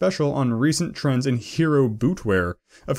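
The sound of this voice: With a quiet background, the recording carries an unforced reading voice.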